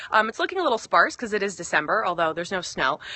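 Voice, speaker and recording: A woman talks at a very fast pace. Her pitch swings very widely. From US Northeast, northern New Jersey. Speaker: fitness coach. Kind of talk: casual live-stream chat. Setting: outdoors in backyard.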